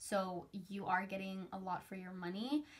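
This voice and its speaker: A somewhat breathy woman's voice at a medium pitch. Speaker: beauty youtuber. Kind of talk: product review. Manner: fast.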